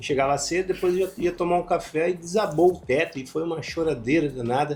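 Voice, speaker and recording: Talking at a fairly quick pace, a man uses a high pitch with ordinary variation. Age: 60s. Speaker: former journalist. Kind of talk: interview.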